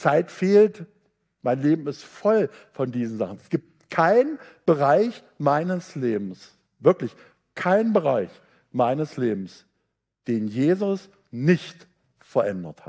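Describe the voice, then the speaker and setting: A man's fairly high voice in a dark, mellow tone, very slow pace, very wide pitch swings, big swings in loudness, and long, frequent pauses. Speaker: visiting preacher.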